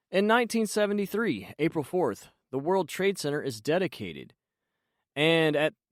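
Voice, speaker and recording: Very wide pitch swings in a man's fairly high voice. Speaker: voice actor. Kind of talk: podcast host talk. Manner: casual, conversational.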